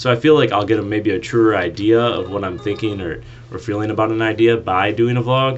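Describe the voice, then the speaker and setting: A man's fairly low voice at a fairly quick pace, over noticeable background noise. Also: ordinary pitch variation. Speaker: college intern. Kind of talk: personal vlog. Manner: fast; unscripted, hesitant with fillers.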